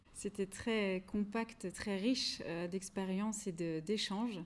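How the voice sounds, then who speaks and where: A woman talks at medium pitch with fairly even intonation. She has a plain, everyday voice. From France. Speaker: singer. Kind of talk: interview.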